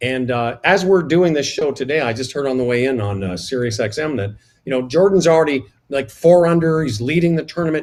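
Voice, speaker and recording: A man speaks in a normal speaking voice, pitched fairly high. His intonation is lively and his pace fairly quick. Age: 60s. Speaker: radio broadcaster. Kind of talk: casual chat.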